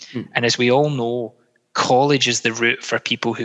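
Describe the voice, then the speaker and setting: In a west of Scotland accent, a man speaks at medium pitch with monotone, flat intonation, recorded dry and close with no echo. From Scotland, Greenock near Glasgow. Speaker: political candidate. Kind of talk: interview. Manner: halting, many fillers.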